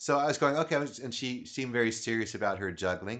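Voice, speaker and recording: Against a quiet background, a man talks at a fairly quick pace. He has an ordinary speaking voice with medium pitch. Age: 50s. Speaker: podcast host and comedy juggler. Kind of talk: casual interview chat. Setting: home recording studio.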